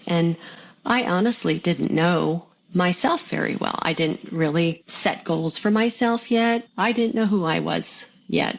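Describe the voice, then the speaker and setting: This is a woman with a fairly low pitch. She has a normal speaking voice. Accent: American. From US, Pennsylvania (Bethlehem). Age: 60s. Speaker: mother of four, former nursing student. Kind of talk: interview testimony.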